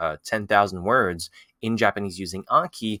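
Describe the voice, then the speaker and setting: In a French accent, a man speaks with a fairly low pitch and a bright, sharp tone, the sound dry and close with no echo on a very clean recording with a silent background. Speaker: language-learning YouTuber. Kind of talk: tutorial. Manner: casual, with many fillers.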